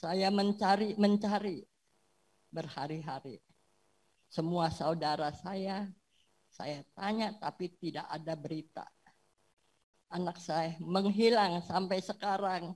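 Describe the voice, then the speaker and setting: The voice is somewhat breathy and moves at a very slow pace. Long, frequent pauses break up the speech. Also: woman, medium pitch for a woman, ordinary pitch variation. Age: 70s. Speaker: church member giving testimony. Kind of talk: testimony.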